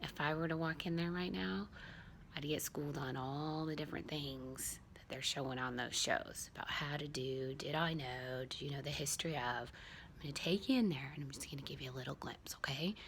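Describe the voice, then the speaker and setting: A quiet woman speaks at a fairly quick pace with a very deep, low pitch and ordinary pitch variation. Audible room echo surrounds her voice. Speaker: vlogger. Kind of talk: casual vlog. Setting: at home. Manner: quiet, lowered voice.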